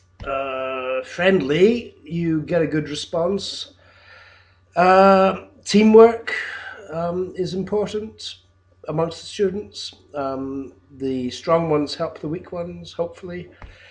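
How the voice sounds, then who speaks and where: Very slowly, a man with a British accent talks at a high pitch. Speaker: English teacher. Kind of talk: video job application. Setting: home, in his flat. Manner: halting, many fillers.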